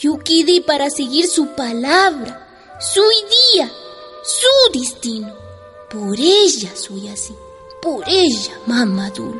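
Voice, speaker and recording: A woman talks at a very slow pace in a high voice, with clear music playing in the background. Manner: loyal, heartfelt.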